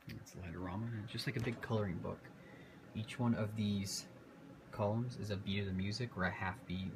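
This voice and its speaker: A man at a fairly quick pace with ordinary pitch variation, noticeable background noise behind him. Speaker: home light display owner. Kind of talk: casual video tour. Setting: outdoors early morning, then indoors. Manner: fast.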